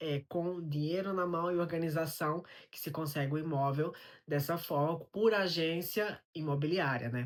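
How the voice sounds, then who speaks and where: Here a man speaks fairly slowly at a fairly high pitch. The recording is very clean with a silent background. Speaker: immigrant vlogger. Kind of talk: vlog monologue. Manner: conversational.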